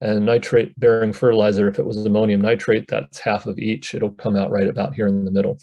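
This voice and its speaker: Speaking with an American accent, a man with a fairly low pitch races along at a very fast pace with hardly any pauses and fairly even intonation. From eastern US, Chesapeake Bay region. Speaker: scientist. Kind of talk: presentation to a panel audience.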